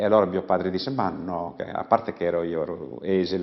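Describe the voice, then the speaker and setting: A man speaks at a moderate pace with a very deep, low pitch. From Sardinia, San Vito. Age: 80s+. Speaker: folk musician, launeddas master. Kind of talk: interview, personal recollection. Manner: halting, with repetitions.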